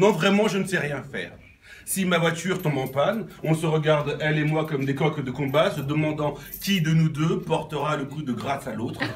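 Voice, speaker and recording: A man speaks at a moderate pace with ordinary pitch variation. Light background noise sits behind him. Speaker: amateur poet. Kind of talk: reading aloud. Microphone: phone near.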